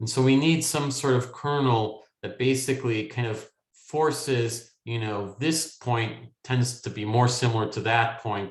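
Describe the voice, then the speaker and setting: Somewhat breathy, a man speaks at a medium pitch and a moderate pace with audible room echo. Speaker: machine learning academic. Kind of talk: lecture. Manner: halting, many fillers.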